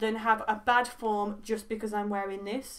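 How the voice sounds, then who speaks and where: The woman's delivery moves at a moderate pace. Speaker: beauty vlogger. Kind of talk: casual haul vlog chat. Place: home room. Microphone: camera far.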